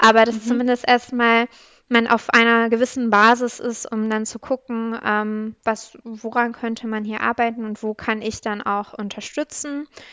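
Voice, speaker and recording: A woman's fairly high voice stays monotone, with flat intonation. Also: moderate pace. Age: 30s. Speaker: public administration agile coach. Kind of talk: interview. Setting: video call.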